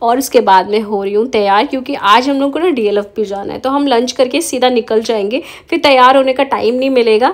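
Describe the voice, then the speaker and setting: A woman talks at a moderate pace with hardly any pauses. Her voice is high, with ordinary pitch variation. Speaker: homemaker vlogger. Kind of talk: vlog voice-over with recipe tutorial. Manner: casual, chatty.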